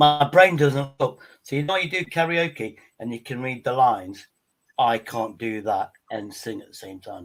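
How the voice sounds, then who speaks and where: A man speaks with an English accent at a fairly high pitch. His intonation is lively, and his loudness swings a lot. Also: moderate pace, very clean recording, silent background. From England. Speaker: livestream panelist. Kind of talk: casual chat.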